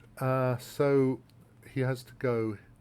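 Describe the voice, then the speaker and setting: The speaker is a man with a British accent. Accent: English (British RP-like). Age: 60s. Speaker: chess grandmaster and columnist. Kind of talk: tutorial. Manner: halting.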